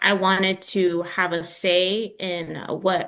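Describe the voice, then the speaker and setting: A woman with a New York accent and a medium-pitched voice. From New York, the Bronx (Dominican heritage). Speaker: communications specialist, workshop presenter. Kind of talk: virtual workshop presentation.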